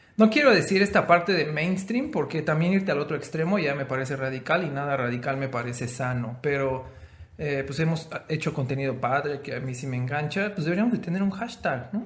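Amid audible room echo, a man with a fairly high pitch talks at a fairly quick pace. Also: lively intonation. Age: 30s. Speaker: podcast co-host. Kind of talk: casual chat.

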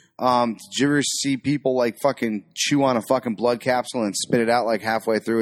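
Recorded very cleanly over a silent background, dry and close with no echo, a man speaks in an ordinary speaking voice at medium pitch and a fairly quick pace. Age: 40s. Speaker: podcast co-host. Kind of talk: casual movie commentary. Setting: home studio on couches in front of a TV.

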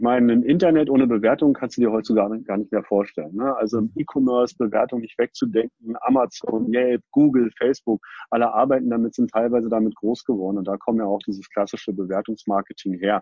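Delivered at a very fast pace with hardly any pauses, the speech shows ordinary pitch variation. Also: man, medium pitch for a man. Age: 40s. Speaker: company co-founder. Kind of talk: interview. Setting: online video recording.

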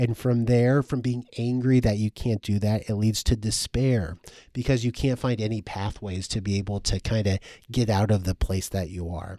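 In a dry, close sound with no echo, a man talks at a moderate pace with a dark, mellow tone and fairly even intonation. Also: fairly low pitch for a man. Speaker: school counselor and podcast co-host. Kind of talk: casual chat. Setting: video call.

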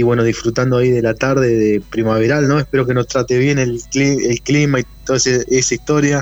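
At a fairly quick pace with hardly any pauses, a man speaks in a medium pitch with monotone, flat intonation and very even loudness. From Argentina, Neuquén. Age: 40s. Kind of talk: interview.

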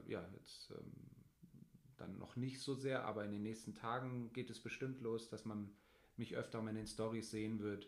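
Flat, monotone intonation runs at a moderate pace, with audible room echo. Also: man. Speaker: family blogger and podcast co-host. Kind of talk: casual chat.

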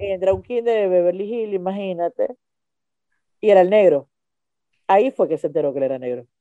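A woman with a dark, mellow tone and medium pitch talks at a fairly quick pace with lively intonation and long, frequent pauses, in a dry, close sound with no echo. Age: 40s. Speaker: stand-up comedian. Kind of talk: casual chat.

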